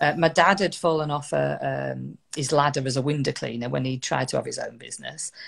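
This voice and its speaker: A woman with a northern English accent is speaking. She talks at a fairly quick pace. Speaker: motivational speaker. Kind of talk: interview storytelling. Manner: conversational, hesitant fillers.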